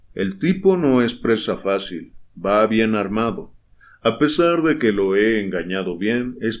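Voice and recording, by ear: With lively intonation, a voice is reading aloud in a natural voice.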